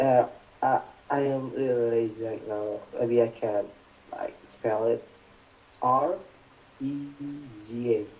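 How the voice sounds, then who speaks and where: Speaking very slowly with long, frequent pauses, a man with an Indonesian accent keeps a medium pitch and fairly even intonation over noticeable background noise. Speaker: participant. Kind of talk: casual chat. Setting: video call.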